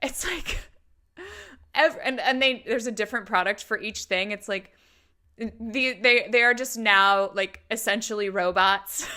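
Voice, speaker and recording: A woman speaks at a fairly slow pace in a fairly high pitch with ordinary pitch variation. Her tone is bright, sharp and animated, and the recording is very clean with a silent background. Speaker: YouTube commentator on MLMs. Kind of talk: reaction commentary.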